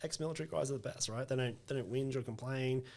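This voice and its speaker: A man with an Australian accent talks on a very clean recording against a silent background. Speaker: recruitment business owner. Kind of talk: podcast interview. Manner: direct, short and sharp.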